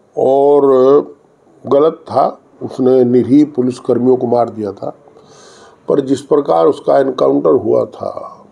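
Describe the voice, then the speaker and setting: Noticeable background noise runs under a man's voice. He speaks with long, frequent pauses. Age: 60s. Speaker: politician. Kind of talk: interview.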